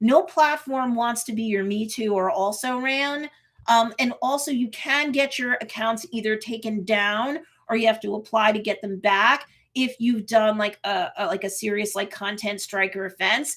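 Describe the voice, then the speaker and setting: In a New York accent, a woman talks at a moderate pace. Her pitch is fairly high with ordinary variation. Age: 50s. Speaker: marketing coach and YouTuber. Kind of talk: livestream tutorial. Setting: live stream.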